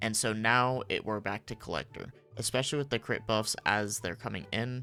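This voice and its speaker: Speech moves at a moderate pace with fairly even intonation. Music sits in the background. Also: man, medium pitch for a man. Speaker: gaming content creator. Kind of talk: game guide commentary. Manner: hushed, keeping voice down.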